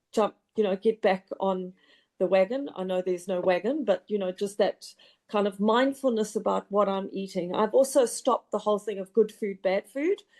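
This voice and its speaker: A woman at a medium pitch speaks at a moderate pace in a normal speaking voice with ordinary pitch variation, the sound dry and close with no echo. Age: 60s. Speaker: program participant, marathon runner. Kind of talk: testimony.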